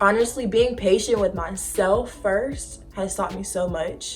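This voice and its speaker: Over noticeable background noise, a woman talks at a fairly slow pace in a medium-pitched voice with ordinary pitch variation. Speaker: lifestyle vlogger. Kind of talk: casual vlog talk.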